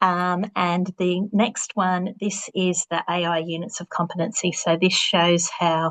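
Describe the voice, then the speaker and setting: A woman with an Australian accent talks fairly slowly in a flat monotone at a fairly low pitch, hardly pausing, in a dry, close sound with no echo. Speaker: vocational education presenter. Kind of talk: webinar presentation.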